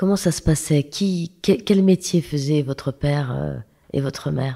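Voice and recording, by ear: With vocal fry and a dark, mellow tone, a woman speaks at a low pitch and a fairly slow pace, her intonation fairly even.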